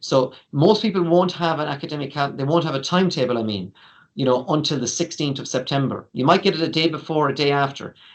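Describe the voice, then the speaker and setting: Talking at a very fast pace, a man with an Irish accent has a fairly high pitch and ordinary pitch variation. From Ireland. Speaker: university international office staff. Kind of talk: informational webinar presentation. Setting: online webinar. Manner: conversational, many fillers.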